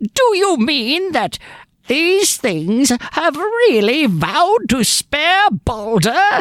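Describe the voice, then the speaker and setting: A put-on character voice, high-pitched with very wide pitch swings, at a very slow pace. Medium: read story.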